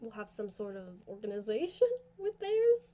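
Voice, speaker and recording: The speaker mumbles at a moderate pace. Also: woman. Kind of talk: casual talk to camera. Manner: mumbly in parts; rambling, informal.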